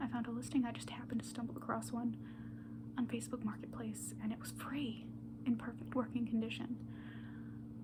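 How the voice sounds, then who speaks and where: Someone whispers in a soft-spoken way over noticeable background noise. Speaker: pastry chef. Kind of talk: ASMR rambling. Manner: soft-spoken, whispered; casual, rambling.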